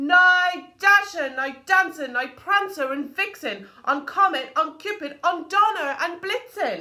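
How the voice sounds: A woman's put-on character voice, extremely high-pitched, bright and sharp, with lively intonation, a fairly slow pace and few pauses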